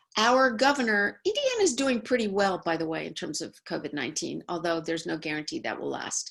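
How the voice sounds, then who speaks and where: A woman with an American accent talks fairly quickly with hardly any pauses, at a medium pitch that swings very widely. Vocal fry runs through her voice. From New York. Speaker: law professor. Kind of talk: webinar presentation.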